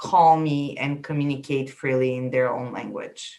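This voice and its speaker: A woman speaks with a Bulgarian accent. Her voice is very deep and low, and her pace is very slow. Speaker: immigration consultant. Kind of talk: interview. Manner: halting.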